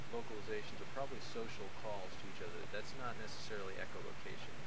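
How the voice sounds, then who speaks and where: A man talks in a dry sound with no echo while loud background noise plays. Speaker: nature guide. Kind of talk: outdoor lecture to a tour group. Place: open country. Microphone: old recording.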